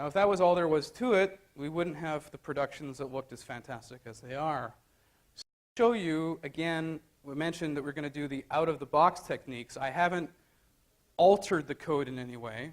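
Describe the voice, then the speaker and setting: A man with a Canadian accent at a fairly high pitch and fairly quick pace, ordinary pitch variation, and big swings in loudness. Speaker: conference speaker. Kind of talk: technical conference talk. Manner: halting, many fillers.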